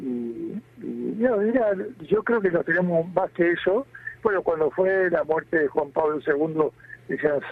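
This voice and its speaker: Over noticeable background noise, a man with a high pitch talks at a fairly slow pace. He leaves long, frequent pauses, and his pitch variation is ordinary. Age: 60s. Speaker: bishop. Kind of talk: interview.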